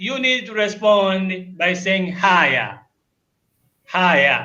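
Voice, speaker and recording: A man's raised, projected voice, high in pitch, at a very slow pace. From Tanzania. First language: Luguru and Swahili. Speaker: language teacher. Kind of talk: short language lesson.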